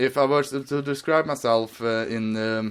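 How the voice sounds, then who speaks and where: On a very clean recording with a silent background, a man speaks at a medium pitch with a Swedish accent. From Sweden. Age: 20s. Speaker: podcast guest. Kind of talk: casual chat. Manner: halting.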